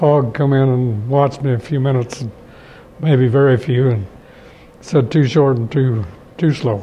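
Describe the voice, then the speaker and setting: A man with a Midwestern American accent speaks with long, frequent pauses and fairly even intonation over light background noise. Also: moderate pace. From southwest Kansas. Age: 80s+. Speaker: farmer and rancher, World War II veteran. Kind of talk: interview answer. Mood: warm, reminiscing. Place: office. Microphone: lapel.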